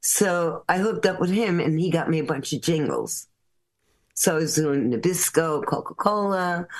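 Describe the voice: A woman's low pitch with lively intonation. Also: moderate pace.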